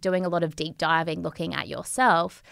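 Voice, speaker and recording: A woman with an Australian accent speaks at a moderate pace in a fairly low pitch, her intonation fairly even, on a very clean recording with a silent background. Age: 30s. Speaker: entrepreneur and yoga teacher. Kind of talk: casual interview. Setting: studio.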